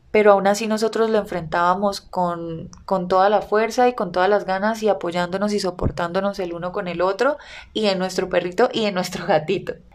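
A woman speaks fairly quickly with hardly any pauses, in an ordinary speaking voice at medium pitch with fairly even intonation. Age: 20s. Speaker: podcast host and content creator. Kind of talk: personal storytelling monologue.

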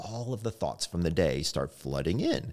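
The voice sounds animated, with lively intonation. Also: man. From US South. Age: 50s. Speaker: sleep doctor and clinical psychologist. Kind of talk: interview. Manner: animated, casual.

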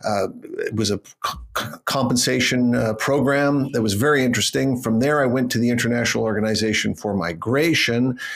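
A man with a Canadian accent talks at a fairly quick pace and medium pitch, with ordinary pitch variation and very even loudness. Noticeable background noise can be heard. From Canada. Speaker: public speaking coach. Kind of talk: interview.

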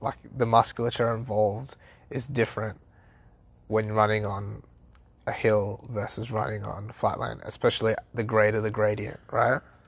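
A man's fairly low, somewhat breathy voice, monotone and flat, at a moderate pace on a very clean recording with a silent background. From Sri Lankan heritage. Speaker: podcast co-host, personal trainer. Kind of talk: casual chat.

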